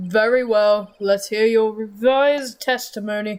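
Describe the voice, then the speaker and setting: Using a put-on character voice, a man speaks high in his range at a fairly slow pace with fairly even intonation. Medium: game stream. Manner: formal, gavel-banging.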